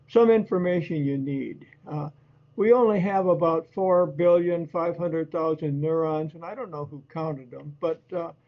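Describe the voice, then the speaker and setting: A man talks at a moderate pace with a high pitch and ordinary pitch variation. His loudness swings widely. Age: 80s+. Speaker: presenter on brain health. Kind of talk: lecture. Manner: halting.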